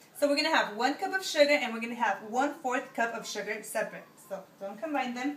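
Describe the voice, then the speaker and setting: High in pitch, a woman speaks with ordinary pitch variation, with audible room echo and noticeable background noise around her. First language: Spanish. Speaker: home cook, video creator. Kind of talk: cooking tutorial. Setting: home kitchen. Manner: casual, hesitant with fillers.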